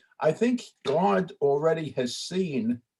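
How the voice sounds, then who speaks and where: The tone is dark and mellow, somewhat breathy, with an American accent. The intonation is lively. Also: man. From New York (Brooklyn). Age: 80s+. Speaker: congregant in study group. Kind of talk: casual discussion. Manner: halting.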